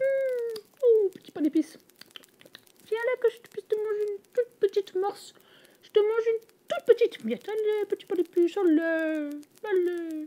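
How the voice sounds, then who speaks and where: Using a put-on character voice, a woman talks at an extremely high pitch with long, frequent pauses. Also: moderate pace. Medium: read story.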